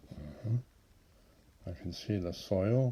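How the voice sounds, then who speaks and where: A man talks at a fairly slow pace in a fairly low pitch. His tone is dark and mellow, with ordinary pitch variation. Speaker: grandfather reading to children. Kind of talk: children's storybook reading. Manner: slow, friendly, chatty, addressing children between story lines.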